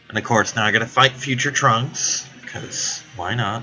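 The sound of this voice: A man with a medium-pitched voice speaks in a bright, sharp tone with a slightly husky edge. Faint music plays in the background. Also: ordinary pitch variation, moderate pace.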